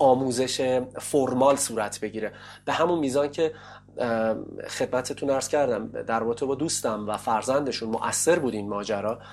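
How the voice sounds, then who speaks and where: An ordinary speaking voice from a man, medium in pitch, at a moderate pace with ordinary pitch variation. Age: 30s. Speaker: English teacher. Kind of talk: interview. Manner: formal.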